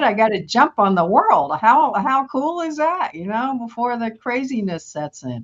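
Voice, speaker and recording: In an American accent, a woman talks at a moderate pace. Her fairly high voice makes very wide pitch swings. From New York City. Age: 70s. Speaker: wellness coach. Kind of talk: podcast interview. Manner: energetic.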